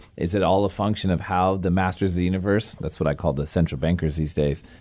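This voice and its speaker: A man's very deep, low voice with vocal fry, ordinary pitch variation and a very fast pace. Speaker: podcast host. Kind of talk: interview. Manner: fast talker.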